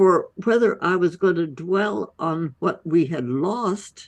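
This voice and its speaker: This woman's medium-pitched voice moves at a very slow pace. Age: 80s+. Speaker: holistic medicine physician. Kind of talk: interview answer.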